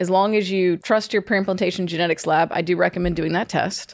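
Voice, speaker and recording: A woman's normal speaking voice with an American accent, fairly low in pitch with fairly even intonation, on a very clean recording with a silent background. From US South, Georgia. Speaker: fertility doctor. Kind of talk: casual chat.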